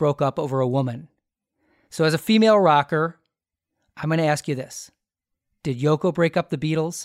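At a moderate pace, a man talks in an ordinary speaking voice with a fairly high pitch. The recording is very clean and silent in the background, with a dry, close sound and no echo. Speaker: podcast host and comedy writer. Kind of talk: casual interview banter.

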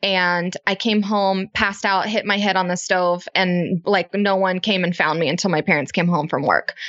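Here a woman with an ordinary speaking voice talks at a moderate pace and medium pitch, her intonation fairly even and her loudness very even. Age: 20s. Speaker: business co-founder and mom. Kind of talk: casual interview.

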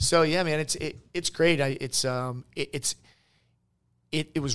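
A man speaks with an American accent at a moderate pace. He has a plain, everyday voice with fairly even intonation. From Boston area, Massachusetts. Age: 40s. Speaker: entrepreneur, medical clinic CEO. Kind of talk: casual interview.

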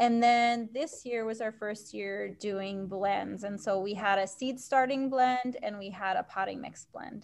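A woman with a plain, everyday voice, fairly high pitch, fairly even intonation, big swings in loudness and a fairly slow pace. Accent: American. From Maine, US Northeast. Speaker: community compost business owner. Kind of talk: interview.

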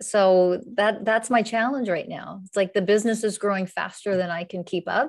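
Against a quiet background, a woman with an American accent speaks at medium pitch and a moderate pace, with hardly any pauses. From Pennsylvania, US. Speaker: spiritual teacher and coach. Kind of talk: casual interview. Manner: animated.

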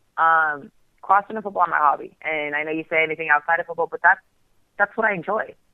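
A woman talks at a fairly quick pace in an ordinary speaking voice. Her pitch is fairly low. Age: 20s. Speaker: women's football player. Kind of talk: casual interview. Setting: phone call.

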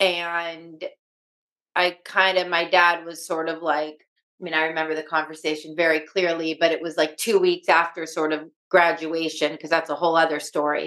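At a moderate pace, a woman speaks in a fairly low pitch with monotone, flat intonation. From Los Angeles, US. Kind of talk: interview.

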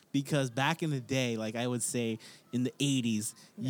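A man speaks at a moderate pace in a medium pitch with an American accent and ordinary pitch variation. He has a plain, everyday voice. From California. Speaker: podcast host. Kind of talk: casual chat.

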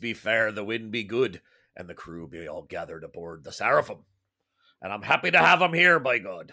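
In a very clean recording over a silent background, a man puts on a character voice and speaks at a fairly quick pace. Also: medium pitch for a man. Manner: exaggerated, playful.

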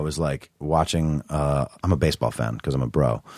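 A husky man's voice moves at a moderate pace. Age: 30s. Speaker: writer and party promoter. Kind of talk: casual chat.

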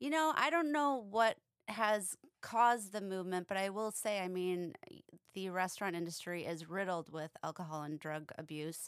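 The tone is clear and smooth. Intonation stays fairly even at a moderate pace. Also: woman, medium pitch for a woman.

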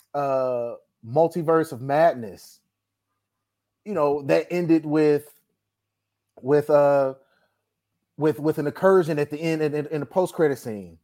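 In an American accent, a man with a fairly high pitch and a dark, mellow tone speaks at a moderate pace with ordinary pitch variation. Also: very clean recording, silent background. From Texas, Dallas. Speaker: movie podcast co-host. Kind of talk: casual chat.

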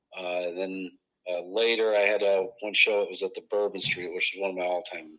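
A man with a Midwestern American accent at a fairly quick pace. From US Midwest, Iowa. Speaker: comedian. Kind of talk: casual chat.

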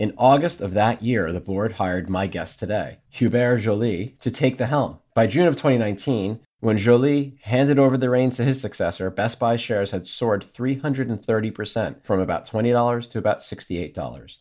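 An unremarkable speaking voice at a fairly slow pace, with hardly any pauses and ordinary pitch variation. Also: man, medium pitch for a man. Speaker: podcast host. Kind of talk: interview. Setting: video call.

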